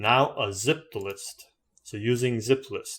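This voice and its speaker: Somewhat breathy speech with fairly even intonation comes through on a very clean recording with a silent background. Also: man. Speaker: programming tutorial creator. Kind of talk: screen-recorded coding tutorial. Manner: fast-paced; casual.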